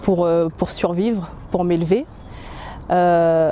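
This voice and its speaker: Her intonation stays fairly even as the woman speaks at a medium pitch. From French Antilles. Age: 30s. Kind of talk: testimony. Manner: halting, many hesitations.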